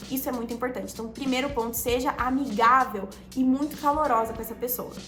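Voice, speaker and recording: A woman's high, animated voice at a very fast pace, with music in the background. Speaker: social media coach. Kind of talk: tutorial. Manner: animated, varied pitch.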